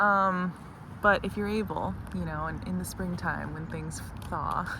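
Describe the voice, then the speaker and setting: Soft-spoken and fairly slow, a woman talks amid audible room echo. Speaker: vlogger. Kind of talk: casual chat. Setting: outdoors.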